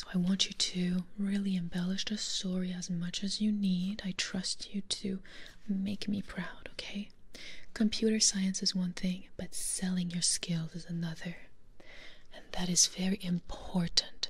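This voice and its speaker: The speaker is soft-spoken, moving at a fairly slow pace in a monotone, flat intonation. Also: woman. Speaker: ASMR creator playing a teacher. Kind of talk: role-play teaching monologue. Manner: soft close-mic ASMR roleplay voice. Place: home room. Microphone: studio mic.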